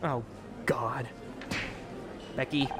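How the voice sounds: A woman puts on a character voice at an extremely low pitch, speaking very slowly with fairly even intonation over clear background music.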